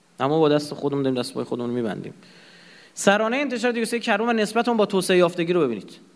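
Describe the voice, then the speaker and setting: Talking at a very fast pace, a man with a high pitch makes very wide pitch swings. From Iran. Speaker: lecturer. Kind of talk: lecture. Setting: lecture hall with audience and projector.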